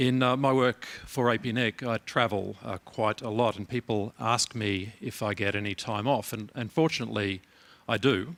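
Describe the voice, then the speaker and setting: An Australian accent comes from a man at a medium pitch, with fairly even intonation and a moderate pace, in a dry, close sound with no echo and a very clean recording with a silent background. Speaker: keynote speaker, internet organization head. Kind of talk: conference keynote speech. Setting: conference hall with audience. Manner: halting, many fillers and repeats.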